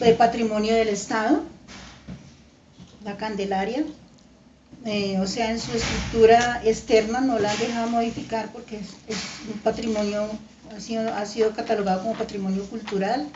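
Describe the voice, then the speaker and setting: A woman at a fairly high pitch speaks at a moderate pace with fairly even intonation, big swings in loudness and long, frequent pauses, amid audible room echo and noticeable background noise. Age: 70s. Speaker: grandparent interviewed for school project. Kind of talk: interview answers. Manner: halting, many fillers.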